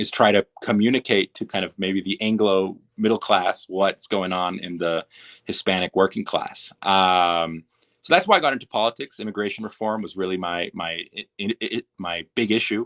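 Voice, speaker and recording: A man speaks at a fairly low pitch and a moderate pace, with fairly even intonation. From US, California (Yolo County). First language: Spanish. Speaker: union communications director. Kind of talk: podcast interview.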